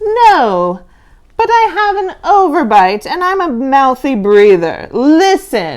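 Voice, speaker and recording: A female-sounding voice puts on a character voice, high in pitch with very wide pitch swings. The pace is fairly slow. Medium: read story. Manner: polite, mild.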